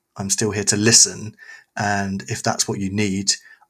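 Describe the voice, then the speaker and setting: The speaker has a London accent. The intonation is monotone and flat. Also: man. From East London. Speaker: youth pastor. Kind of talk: casual chat.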